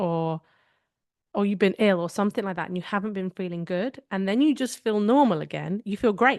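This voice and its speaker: With a British accent, a woman of medium pitch talks at a fairly quick pace, her sound dry and close with no echo over a quiet background. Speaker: podcast co-host. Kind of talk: casual chat.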